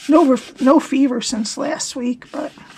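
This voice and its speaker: Noticeable background noise accompanies a woman with a high pitch. She talks at a very slow pace with fairly even intonation. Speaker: paper craft demonstrator. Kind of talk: tutorial. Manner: casual, conversational.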